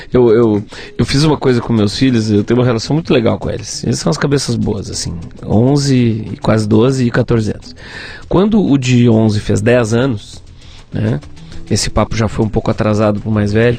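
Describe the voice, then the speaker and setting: Over music in the background, the speech moves at a fairly quick pace with ordinary pitch variation. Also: man, medium pitch for a man. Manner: animated.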